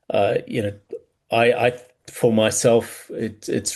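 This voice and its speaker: This is a man speaking. He talks with a South African accent. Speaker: business coach. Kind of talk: podcast interview. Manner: hesitant, many fillers and repeats.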